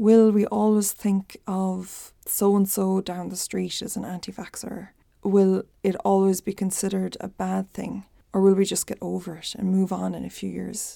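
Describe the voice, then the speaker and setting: A woman with an Irish accent at a moderate pace, big swings in loudness, on a very clean recording with a silent background. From rural Ireland. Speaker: podcast host, psychic and spiritual teacher. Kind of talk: solo podcast monologue, confessional and casual.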